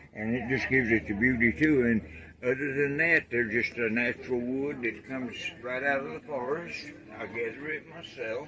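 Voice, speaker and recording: Noticeable background noise sits under this recording. A man of medium pitch talks at a moderate pace with ordinary pitch variation. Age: 70s. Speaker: wood artist. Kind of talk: interview.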